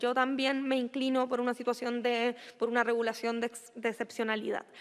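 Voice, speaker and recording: Her voice is high-pitched. This woman talks at a moderate speed. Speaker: government minister. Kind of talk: committee testimony.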